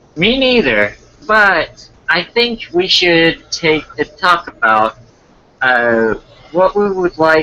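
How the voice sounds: Putting on a character voice, a man speaks slowly with a fairly high pitch, a bright, sharp tone, vocal fry and very wide pitch swings.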